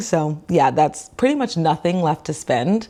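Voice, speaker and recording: Her intonation is lively. This woman's pitch sits fairly low. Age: 20s. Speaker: physical therapist and finance vlogger. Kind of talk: casual vlog talk to camera. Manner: fast.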